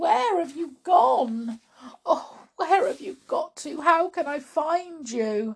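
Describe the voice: In a put-on character voice, a woman speaks slowly and high-pitched, with vocal fry and big pitch swings.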